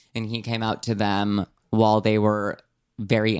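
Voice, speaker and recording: The voice belongs to a man. He delivers everything in a monotone, flat intonation. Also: very clean recording, silent background. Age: 20s. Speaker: podcast co-host. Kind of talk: casual chat.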